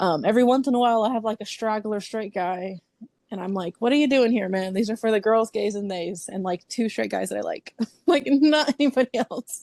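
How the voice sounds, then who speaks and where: A woman speaks at a fairly quick pace and fairly high pitch in an animated tone, with ordinary pitch variation and a dry, close sound with no echo. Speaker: book influencer. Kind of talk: casual chat. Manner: loud.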